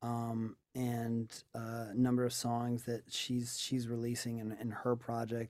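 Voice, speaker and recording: The delivery is very slow and flat, with monotone intonation. It carries an American accent. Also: man, medium pitch for a man. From New York. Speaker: singer-songwriter. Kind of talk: casual interview chat. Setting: remote call.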